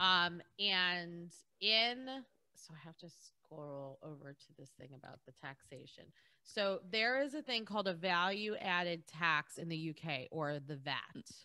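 A woman's fairly low, bright and sharp voice, animated and lively in intonation, at a fairly slow pace with big swings in loudness, over a quiet background. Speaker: podcast co-host. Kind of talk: casual chat. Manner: animated, laughs often. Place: home room. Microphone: studio mic.

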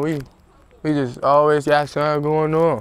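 A man with an American accent at a moderate pace, in dry sound with no echo. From Maryland, Walker Mill Road area (Prince George's County); Maryland. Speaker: rapper; interviewee. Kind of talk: casual interview. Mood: relaxed, laid-back. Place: street. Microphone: lapel.

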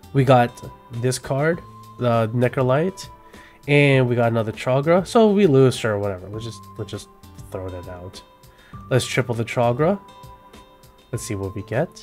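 A man's medium-pitched voice with an American accent and lively intonation, big swings in loudness and long, frequent pauses, music in the background. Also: moderate pace. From California. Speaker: gaming content creator. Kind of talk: unscripted gameplay commentary. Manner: casual, hesitant with fillers.

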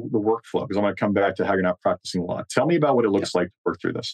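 A man talks at a very fast pace with very wide pitch swings, the sound dry and close with no echo. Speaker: podcast host. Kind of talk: interview.

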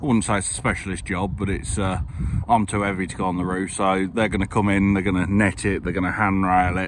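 A man at a fairly quick pace with low pitch

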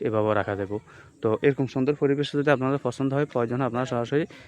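A man's voice, fairly even in intonation, in a dry, close sound with no echo. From Bangladesh, Noakhali. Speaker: land sale broker and video blogger. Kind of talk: property walkthrough vlog. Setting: outdoors on site.

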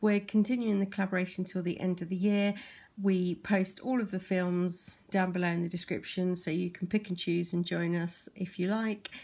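A woman's monotone, flat delivery at a moderate pace. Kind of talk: craft show-and-tell tutorial. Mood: relaxed, friendly. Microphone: phone near.

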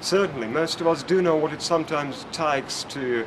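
Noticeable background noise sits behind a man speaking at a moderate pace in a fairly high voice. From Russia. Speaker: neuroscientist and public speaker. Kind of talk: vlog talk to camera. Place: hall.

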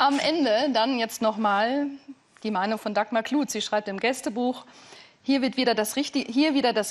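Pitch rises and falls in an ordinary way. The speaker keeps a moderate pace. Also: woman.

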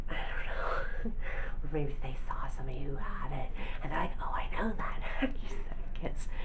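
A woman whispering in a relaxed tone, with hardly any pauses. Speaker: ASMR vlogger. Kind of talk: ASMR soft-spoken chat to camera. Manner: soft-spoken, relaxed, rambling. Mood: smiling, lightly amused. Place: home room. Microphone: webcam.

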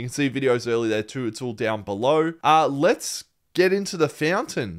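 A man's fairly high voice with an Australian accent, lively intonation and a moderate pace on a very clean recording with a silent background. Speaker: movie reaction YouTuber. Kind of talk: casual chat. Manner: subdued, less energetic than usual.

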